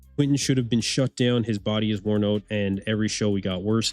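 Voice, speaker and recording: With an Eastern Canadian accent, a man speaks at a medium pitch. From Eastern Canada. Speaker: bodybuilding livestream host. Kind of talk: live watch-along commentary. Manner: animated, casual.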